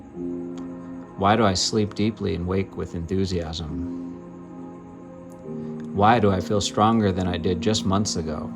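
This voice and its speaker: A man's very deep, low voice at a fairly slow pace, with ordinary pitch variation and music in the background. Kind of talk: guided affirmation reading, self-empowerment narration.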